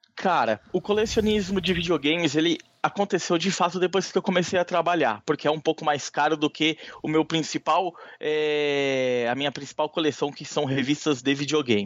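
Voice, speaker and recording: This man's pitch shifts in an ordinary way. He keeps a moderate speed. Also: dry, close sound with no echo. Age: 30s. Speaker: magazine editor and publisher. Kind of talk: interview. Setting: phone call. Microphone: low call quality with interference noise.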